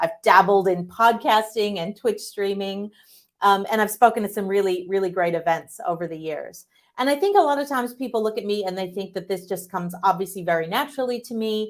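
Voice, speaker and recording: Speaking fairly quickly with lively intonation, a woman uses an unremarkable speaking voice at medium pitch, with an American accent. The recording is very clean, with a silent background. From United States. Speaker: tech executive, public speaker. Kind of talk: keynote talk.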